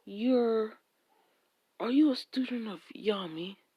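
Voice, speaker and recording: A woman performs a put-on character voice. Her pitch is fairly high and her pace fairly slow. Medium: solo performance. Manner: menacing.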